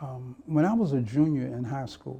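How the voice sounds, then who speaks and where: This speaker has an American accent and a somewhat breathy voice. The pace is fairly slow, with ordinary pitch variation. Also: man. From Miami, Florida. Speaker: retired police officer. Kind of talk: oral history interview answer.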